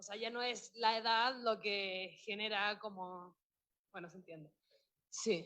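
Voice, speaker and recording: A woman speaks at a very slow pace with a bright, sharp tone. Her intonation is fairly even, while her loudness swings widely. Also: medium pitch for a woman. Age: 20s. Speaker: seminar participant. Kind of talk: seminar discussion.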